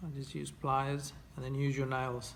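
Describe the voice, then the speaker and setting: Over light background noise, a man talks at a moderate pace in a relaxed tone. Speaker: fly tier. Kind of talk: tutorial. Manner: relaxed, with hesitations. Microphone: phone near.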